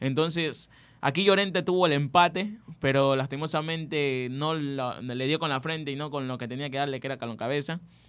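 A man with an ordinary speaking voice talks fairly quickly, pitched fairly high, his pitch varying in an ordinary way. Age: 20s. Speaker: student sports radio presenter; radio presenter. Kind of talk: sports talk radio chat. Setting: radio studio. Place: studio. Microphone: studio mic.

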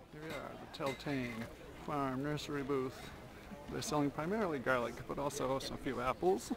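Clear music plays in the background under a voice with ordinary pitch variation. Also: man, moderate pace, dry sound with no echo. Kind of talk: casual walkthrough narration. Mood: cheerful, curious. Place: market. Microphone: phone near.

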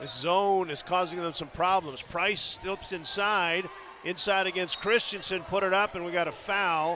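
At a moderate pace, a man with a high pitch speaks in fairly even intonation, the sound dry with no echo and noticeable background noise around him. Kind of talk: live commentary. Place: stadium. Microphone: headset.

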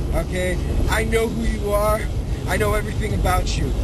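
A man talks at a fairly quick pace over loud background noise, the sound dry with no echo. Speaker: wrestling-style video host. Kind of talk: trash-talk promo. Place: car.

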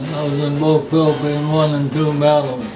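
Clear music plays in the background as a man speaks at a fairly high pitch. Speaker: World War II navy veteran. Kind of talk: interview answer. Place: home room. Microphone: camera far.

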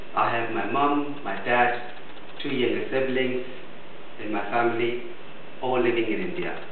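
A man speaks with fairly even intonation in a room with audible echo and light background noise. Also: moderate pace. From India. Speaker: biomedical engineer giving a speech at a speakers club. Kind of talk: prepared speech. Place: meeting room. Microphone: camera far.

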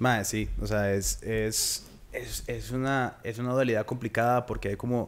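A man at medium pitch, fairly slow and monotone, with flat intonation. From Costa Rica. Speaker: podcast host. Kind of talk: casual chat. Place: studio. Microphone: studio mic.

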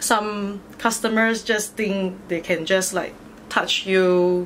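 A woman talks at a very slow pace with fairly even intonation. Light background noise sits behind her. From Malaysia, Batu Pahat, Johor. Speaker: DJ and fitness instructor. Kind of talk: casual interview chat. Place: home room.

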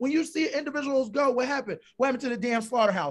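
Against a quiet background, a man speaks very fast in an animated tone. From Philadelphia, US. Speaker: reality TV contestant; guest. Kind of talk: casual interview; interview answer. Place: home room. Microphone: video call.

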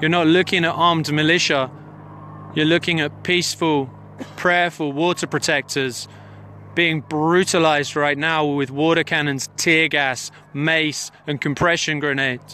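Here a man speaks in a bright, sharp tone at a fairly high pitch, with monotone, flat intonation. The sound is dry with no echo, and there is light background noise. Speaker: citizen journalist livestreaming a protest; witness. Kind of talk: live commentary. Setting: outdoors on a hilltop, mobile livestream. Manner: urgent, emphatic. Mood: urgent, indignant. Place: open country. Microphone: phone near.

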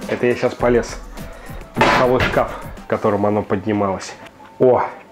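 Clear music plays behind a man as he talks. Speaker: home cooking channel host. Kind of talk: tutorial. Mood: lively, expressive. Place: kitchen. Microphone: lapel.

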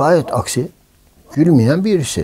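Speaking at a fairly slow pace, a man has a dark, mellow tone with vocal fry. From Istanbul, Turkey. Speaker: film director and producer. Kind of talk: oral history interview answer. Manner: casual, anecdotal. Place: home room.

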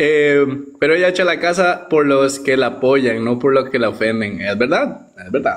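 The background stays quiet. A man talks. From Costa Rica. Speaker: streamer's companion. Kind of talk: casual live stream chat. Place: home room. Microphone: phone near.

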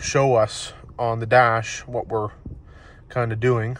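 A man speaks in a somewhat breathy voice, recorded dry with no echo. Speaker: car salesperson. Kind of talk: casual product walkaround for a customer. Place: car.

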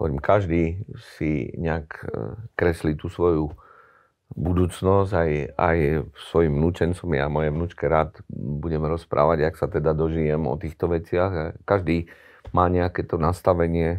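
Against a quiet background, a man speaks at a moderate pace in a very deep, low pitch with fairly even intonation. Long, frequent pauses break up his speech. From Slovakia. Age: 60s. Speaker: hockey club executive; interview guest. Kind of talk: interview. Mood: serious, critical. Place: studio. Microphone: lapel.

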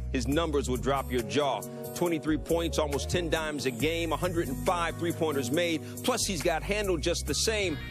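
Clear music runs in the background as a man speaks at a moderate pace, the sound dry with no echo. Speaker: sports broadcaster. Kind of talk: spoken word sports poetry recap. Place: studio.

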